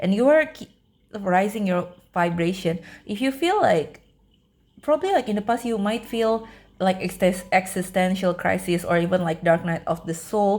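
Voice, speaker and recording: A woman speaks with a medium pitch. Her voice is somewhat breathy. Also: ordinary pitch variation, moderate pace. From Indonesia. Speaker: tarot reader. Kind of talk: pick-a-card tarot reading. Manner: casual, filler-heavy, repeats words.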